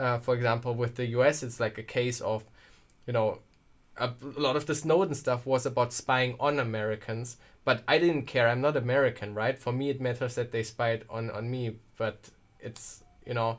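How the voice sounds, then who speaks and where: A man with a German accent talks at a moderate pace with fairly even intonation. The recording is very clean, with a silent background. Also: medium pitch for a man. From Germany. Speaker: tech streamer. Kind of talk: live stream chat. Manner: casual, halting with repeats.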